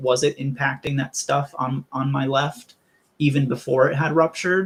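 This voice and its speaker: Somewhat breathy, a man speaks at a moderate pace with a fairly high pitch. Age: 20s. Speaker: AVM survivor. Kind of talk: interview.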